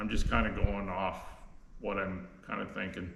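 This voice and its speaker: Audible room echo surrounds a man speaking with a Canadian accent. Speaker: sawmill owner. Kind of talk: unscripted tutorial. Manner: slow, halting; many fillers and repeats.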